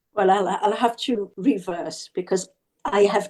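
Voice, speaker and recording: Speaking at a moderate pace with lively intonation, a woman has a dark, mellow tone at a medium pitch and a Zimbabwean accent. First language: Shona. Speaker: author. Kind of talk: interview.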